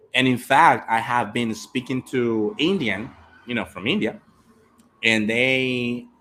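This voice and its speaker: A man's bright, sharp tone with a Latin American accent, on a very clean recording against a silent background. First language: Spanish. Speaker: English teacher. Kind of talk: live stream chat. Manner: animated.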